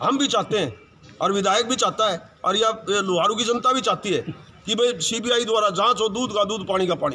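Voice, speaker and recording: In a raised, projected voice, the speaker goes at a moderate pace with ordinary pitch variation over noticeable background noise. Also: man, high pitch for a man. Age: 60s. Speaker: community representative. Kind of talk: media interview.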